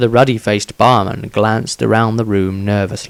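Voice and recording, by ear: Fairly even intonation marks this speaker, who is reading aloud in a natural voice.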